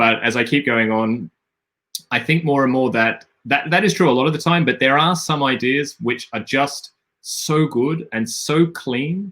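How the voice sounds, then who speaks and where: A man with an Australian accent and a bright, sharp tone speaks at a fairly high pitch and a fairly slow pace, with ordinary pitch variation. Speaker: game designer, stream host. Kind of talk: live stream chat. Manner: halting, many fillers and repetitions.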